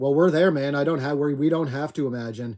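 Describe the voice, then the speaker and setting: A man's fairly high-pitched voice with a dark, mellow tone and a Maritime Canadian accent. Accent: Down East Canadian. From Atlantic Canada. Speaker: homesteader livestream host. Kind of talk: casual live chat.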